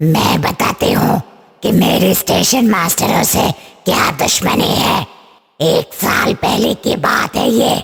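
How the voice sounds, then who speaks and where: A man puts on a cartoonish character voice, raspy and high-pitched. He talks at a fairly slow pace. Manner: menacing, grim.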